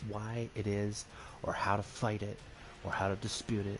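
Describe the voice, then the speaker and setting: Soft-spoken and somewhat breathy, at a moderate pace. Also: man. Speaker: gaming streamer. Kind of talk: casual gameplay commentary. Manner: quiet, soft-spoken.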